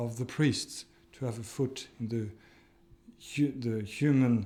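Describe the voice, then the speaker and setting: A man with a non-native accent speaks at a fairly slow pace, his dark, mellow tone carried on fairly even intonation. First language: not English. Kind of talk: interview testimony.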